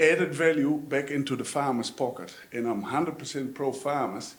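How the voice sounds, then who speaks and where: A man with a Dutch accent speaks at a moderate pace with fairly high pitch and ordinary pitch variation. Room echo is audible. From Netherlands. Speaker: audience member, dairy farmer. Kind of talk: audience question at panel discussion.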